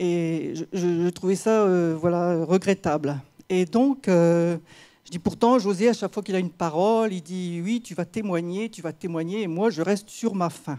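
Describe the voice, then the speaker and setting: On a very clean recording with a silent background, a woman with a dark, mellow tone speaks at a fairly slow pace, her loudness swinging widely. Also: fairly low pitch for a woman, ordinary pitch variation. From rural France. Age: 60s. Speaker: church member giving testimony. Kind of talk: testimony. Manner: halting.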